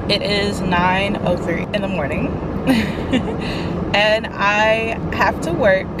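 Loud background noise fills the recording. The sound is dry, with no echo. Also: woman. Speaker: vlogger, teacher. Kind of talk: casual vlog chat. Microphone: phone near.

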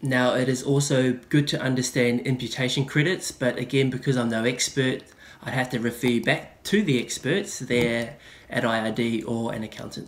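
A man with a New Zealand accent at a moderate pace. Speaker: investing YouTuber. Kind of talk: tutorial. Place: home room. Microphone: webcam.

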